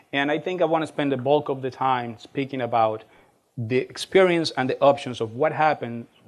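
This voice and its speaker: A man speaks with a Spanish accent at a fairly quick pace. His intonation is fairly even. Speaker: college administrator and speaker. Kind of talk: lecture. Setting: stage with audience. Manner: fast.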